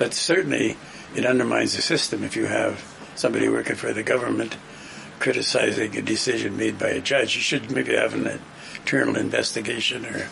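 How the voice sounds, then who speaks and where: A man talks fairly quickly while noticeable noise carries on in the background. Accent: Canadian. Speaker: political panelist. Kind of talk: casual panel discussion.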